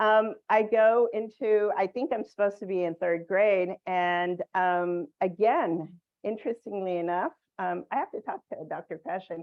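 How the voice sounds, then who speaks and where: Medium pitch from a woman, her pitch varying in an ordinary way. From Southern California, Mexican immigrant family. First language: Spanish. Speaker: education professor. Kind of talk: talk sharing personal story. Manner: hesitant, many fillers.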